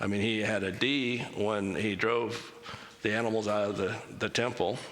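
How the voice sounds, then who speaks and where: A man at a medium pitch with ordinary pitch variation, amid audible room echo and noticeable background noise. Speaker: church speaker. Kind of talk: church talk with Q&A. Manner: casual, conversational.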